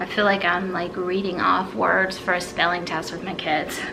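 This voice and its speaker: A woman with an American accent at a fairly slow pace, plus audible room echo and noticeable background noise. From US South, South Carolina. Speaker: YouTuber. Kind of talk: casual chat.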